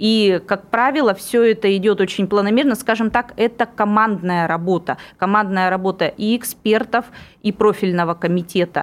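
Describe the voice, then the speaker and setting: A woman's unremarkable speaking voice at medium pitch in a very clean recording with a silent background. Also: ordinary pitch variation, moderate pace, very even loudness. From Irkutsk, Siberia. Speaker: politician. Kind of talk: radio interview. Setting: studio.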